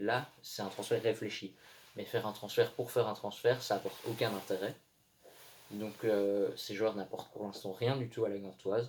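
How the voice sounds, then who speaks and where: The man's voice is fairly low in pitch, its intonation monotone and flat. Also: moderate pace. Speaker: football commentator youtuber. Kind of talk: monologue video commentary.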